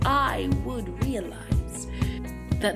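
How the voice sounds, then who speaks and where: Music plays behind a woman as she talks. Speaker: spoken word poet. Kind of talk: spoken word poetry performance.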